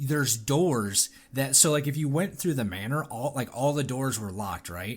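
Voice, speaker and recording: A man speaks at a medium pitch with a somewhat breathy quality and lively intonation. The recording is very clean, with a silent background. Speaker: gaming podcast co-host. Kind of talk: casual chat. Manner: fast; halting.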